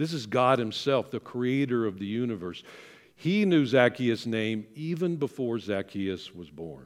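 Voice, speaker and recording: Using an ordinary speaking voice, a man talks at a fairly slow pace in a medium pitch with lively intonation, on a very clean recording with a silent background. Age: 60s. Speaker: senior minister. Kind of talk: sermon. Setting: church.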